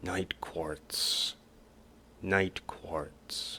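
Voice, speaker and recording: A man whispers in a put-on character voice. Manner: whistling, groaning.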